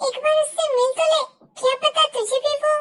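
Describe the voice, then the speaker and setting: A woman puts on a squeaky character voice at an extremely high pitch. She talks at a fairly quick pace in a flat monotone, with very even loudness. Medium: fan dub. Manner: coaxing yet domineering.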